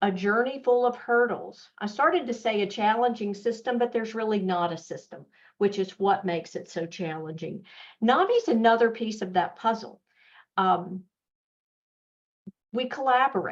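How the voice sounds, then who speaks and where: Here a woman speaks in a Southern US accent at a moderate pace. Her pitch is fairly high, with ordinary variation. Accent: Southern US, fairly thick. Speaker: mental health nonprofit executive. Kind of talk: webinar presentation.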